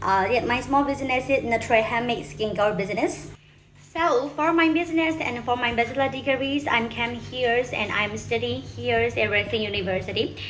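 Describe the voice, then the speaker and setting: In a Burmese accent, a woman speaks at a moderate pace and a high pitch, with ordinary pitch variation and audible room echo. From Myanmar. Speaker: university student. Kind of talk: self-introduction video. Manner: halting.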